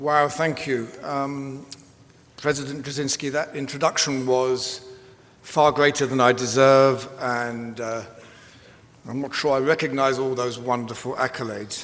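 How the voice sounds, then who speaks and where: With an English accent, a man speaks at a fairly slow pace in a monotone, flat intonation. Audible room echo and noticeable background noise are present. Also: medium pitch for a man. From England. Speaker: commencement speaker, professor. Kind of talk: commencement speech. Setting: arena with audience.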